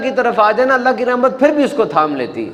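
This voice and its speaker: Noticeable background noise runs behind the speaker. He is a man with an extremely high pitch. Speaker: Islamic preacher. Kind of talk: religious sermon with a story, delivered to an audience.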